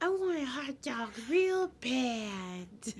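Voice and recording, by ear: This is a put-on character voice that sounds female. Its pitch is high for a woman.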